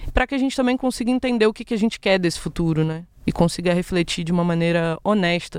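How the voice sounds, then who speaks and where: Racing along very fast with hardly any pauses, a woman speaks in a fairly low voice with lively intonation. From Rio de Janeiro, west zone (Brazil). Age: 20s. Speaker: podcast host and educator. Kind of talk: solo educational podcast monologue.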